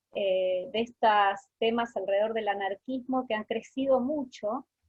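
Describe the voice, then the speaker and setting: Her voice sits fairly high for a woman. She speaks at a fairly slow pace with ordinary pitch variation. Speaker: researcher and lecturer. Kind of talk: lecture. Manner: deliberately slowed speech.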